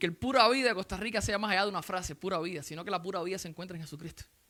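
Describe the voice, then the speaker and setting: The speech races along at a very fast pace. The recording is very clean, with a silent background. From Cuba. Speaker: visiting preacher. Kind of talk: sermon. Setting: church.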